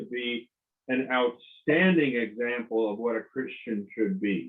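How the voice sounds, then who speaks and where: With ordinary pitch variation, the voice proceeds at a very slow pace. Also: man. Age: 70s. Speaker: clinical psychologist and marriage author. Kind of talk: interview. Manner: halting.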